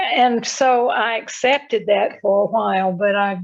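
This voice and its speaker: With a Southern US accent, a woman talks using fairly even intonation. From Richmond, Virginia, US South. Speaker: retired spiritual organization president. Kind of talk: interview.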